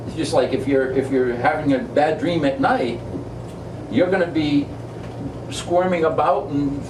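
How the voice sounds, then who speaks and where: A man speaks at a moderate pace with a New England accent. Audible room echo and noticeable background noise are present. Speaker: spiritual discussion leader, author. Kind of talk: group discussion, informal teaching. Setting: back room of an ice cream shop with small group.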